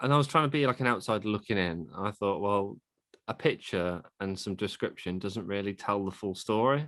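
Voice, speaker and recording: A speaker with a British accent talks at a moderate pace with ordinary pitch variation. The recording is very clean, with a silent background. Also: man. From UK. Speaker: vegan family content creator, father. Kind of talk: casual interview chat. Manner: halting.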